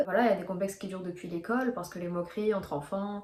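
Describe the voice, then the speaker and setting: Ordinary pitch variation in a medium-pitched female voice. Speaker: video blogger. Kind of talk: casual monologue to camera. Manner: fast; hesitant, many fillers.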